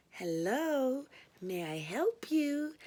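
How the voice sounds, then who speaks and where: This put-on character voice leaps through very wide pitch swings. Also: woman, high pitch for a woman. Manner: sweet, cooing, polite.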